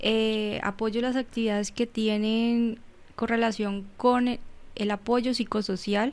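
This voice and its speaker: Over a very clean recording with a silent background, the voice moves at a very slow pace in a monotone, flat intonation. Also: woman, fairly high pitch for a woman. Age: 30s. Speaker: psychologist and human rights defender. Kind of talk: interview. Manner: halting.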